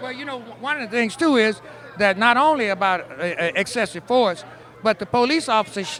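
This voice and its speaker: Against crowd noise, a man with a high pitch talks fairly quickly, his intonation lively and his loudness swinging widely. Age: 60s. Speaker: radio reporter. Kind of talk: street interview.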